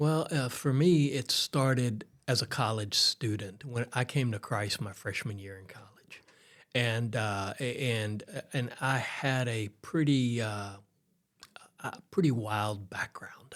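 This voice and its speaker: A man with a Texan accent speaks at a fairly slow pace and a medium pitch. His pitch variation is ordinary, while his loudness swings widely. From Texas, Houston area. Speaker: pastor. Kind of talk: interview conversation.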